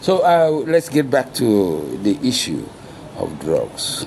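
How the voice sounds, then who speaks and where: The speaker is a man. Noticeable background noise runs under his voice. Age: 60s. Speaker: former drug user. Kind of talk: interview. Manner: halting, many fillers.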